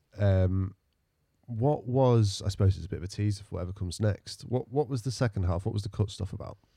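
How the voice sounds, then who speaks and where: This man talks at a very fast pace in a fairly low pitch with ordinary pitch variation and a dark, mellow, somewhat breathy tone. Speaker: poet and podcast co-host. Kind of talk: casual interview conversation.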